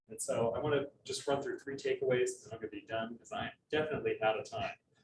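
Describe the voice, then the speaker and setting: A man speaks at a very fast pace with big swings in loudness. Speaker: economic development organization staff presenter. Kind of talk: presentation. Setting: public event with audience.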